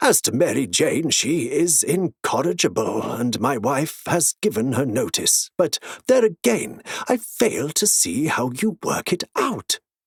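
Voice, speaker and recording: A man puts on a character voice, pitched fairly high with very wide pitch swings, at a fairly slow pace. The sound is dry and close, with no echo. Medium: read story. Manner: warm, earnest.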